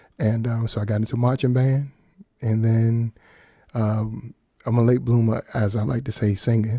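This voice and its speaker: A man speaks at a medium pitch and a moderate pace. His tone is dark and mellow, and somewhat breathy. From Washington, D.C. area, US. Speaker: singer and songwriter. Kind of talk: radio interview. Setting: radio studio.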